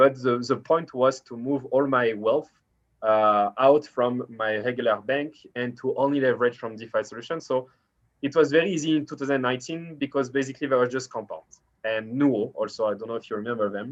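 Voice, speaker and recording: A man with a French accent speaks at a medium pitch and a fairly quick pace. His intonation is fairly even, and the background is quiet. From France. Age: 30s. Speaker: startup founder. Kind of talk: interview. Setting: video call.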